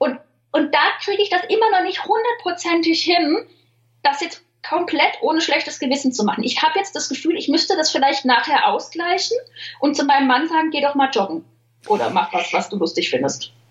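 Squeaky and high, a woman's voice moves at a fairly quick pace with very wide pitch swings. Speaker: humor author and social media writer. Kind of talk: interview conversation. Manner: fast.

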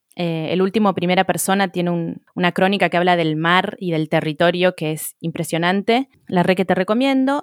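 A woman with an unremarkable speaking voice, a fairly low pitch and ordinary pitch variation talks at a moderate pace in a dry, close sound with no echo. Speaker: podcast co-host, mother. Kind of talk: casual chat. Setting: remote call.

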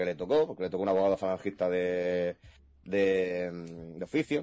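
The tone is dark and mellow. Words come at a fairly quick pace. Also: man. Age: 20s. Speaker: jurist. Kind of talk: casual chat. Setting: live stream.

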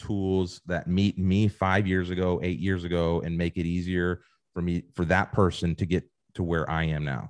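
Over a quiet background, a man with an American accent speaks at a moderate pace in a very deep, low voice, recorded dry and close with no echo. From Ohio. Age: 30s. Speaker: marketing executive. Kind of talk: casual interview.

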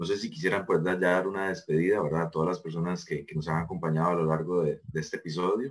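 A man's very deep, low voice at a very fast pace, with hardly any pauses and ordinary pitch variation. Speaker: student association president, podcast host. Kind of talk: podcast interview.

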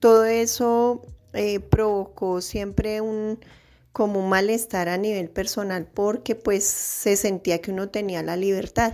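A woman's dark, mellow voice at a medium pitch, very slow and flat in intonation. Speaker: office worker and mother. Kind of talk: interview.

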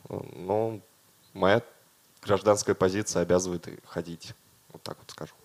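Speaking at a fairly slow pace with long, frequent pauses, a man with a very deep, low pitch keeps his intonation fairly even while his loudness swings widely. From Russia, Dimitrovgrad. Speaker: concert organizer. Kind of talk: casual chat.

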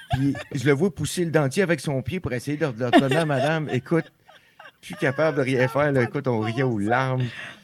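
A man at medium pitch with ordinary pitch variation and a moderate pace. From Quebec, Outaouais region. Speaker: country singer-songwriter. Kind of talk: casual interview. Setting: studio, around a table.

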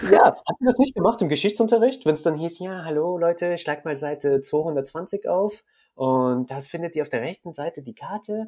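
With a dark, mellow tone and a high pitch, a man speaks at a moderate pace with lively intonation and big swings in loudness. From Germany, Rhineland-Palatinate (rural). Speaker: photographer. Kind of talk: interview. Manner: halting, many repetitions and fillers.

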